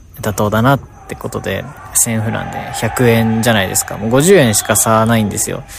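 Music plays in the background while the voice shows ordinary pitch variation. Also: man. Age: 20s. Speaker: podcast host, traveler. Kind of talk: solo travel vlog monologue. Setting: on location while traveling. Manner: casual, rambling.

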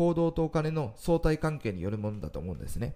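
At a moderate pace, the voice moves through very wide pitch swings with a dark, mellow tone, captured in a very clean recording with a silent background. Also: man. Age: 40s. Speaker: fortune-telling consultant. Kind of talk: solo monologue talk.

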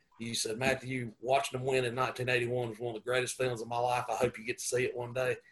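A man speaks in a Southern US accent. His pitch is medium. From US South, upstate South Carolina. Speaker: high school football coach. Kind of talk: casual chat.

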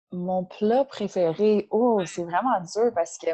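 Her intonation stays fairly even at a medium pitch. This woman has a normal speaking voice. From Ontario, outside Toronto. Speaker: CrossFit coach and nutritionist. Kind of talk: casual interview.

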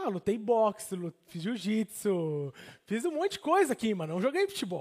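Here a man with a Brazilian accent speaks at a high pitch with very wide pitch swings. His pace is moderate, and the sound is dry and close with no echo. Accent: Brazilian, noticed abroad. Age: 30s. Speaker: pastor and missionary. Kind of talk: sermon.

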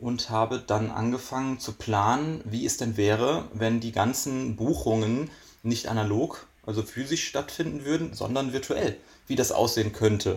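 Speaking at a moderate pace, a man with a medium pitch and ordinary pitch movement sounds somewhat breathy. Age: 20s. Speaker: magician. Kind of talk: casual chat.

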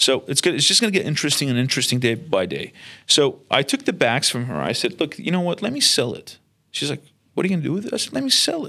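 A man talks at a very fast pace with very wide pitch swings, a bright, sharp tone and vocal fry. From Iraq (Baghdad), Armenian community. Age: 30s. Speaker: entrepreneur. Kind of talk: personal storytelling monologue.

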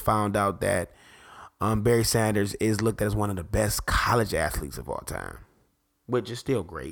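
A man's fairly low-pitched voice with vocal fry, an animated tone and a moderate pace. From Detroit, US Midwest. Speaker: podcast host. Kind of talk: casual talk show monologue.

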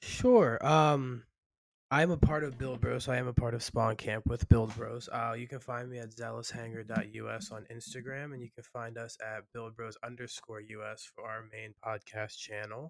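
A man has a plain, everyday voice at medium pitch and a moderate pace. His intonation is fairly even, but his loudness swings a lot. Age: 20s. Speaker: podcaster and gamer. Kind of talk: casual chat. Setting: at work.

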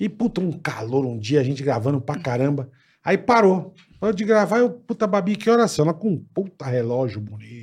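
A man speaks at a moderate pace in a fairly high pitch, with very wide pitch swings. The background is quiet. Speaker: podcast host. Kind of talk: casual chat. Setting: studio.

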